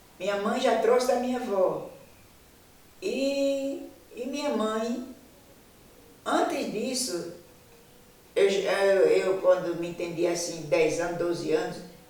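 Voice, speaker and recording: Amid noticeable background noise and audible room echo, a woman with a fairly high pitch talks at a very slow pace with very wide pitch swings and long, frequent pauses. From Brazil, Paraíba north coast (Potiguara village, Baía da Traição). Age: 80s+. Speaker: traditional midwife. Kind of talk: documentary interview, life story.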